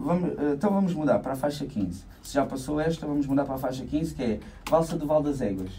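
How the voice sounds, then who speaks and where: The voice is somewhat breathy with a dark, mellow tone and lively intonation, moving at a very fast pace over light background noise. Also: man. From Portugal, Alentejo coast (Santiago do Cacém). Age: 30s. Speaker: accordion player and dance-band musician. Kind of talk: radio interview. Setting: radio studio. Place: studio. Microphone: studio mic.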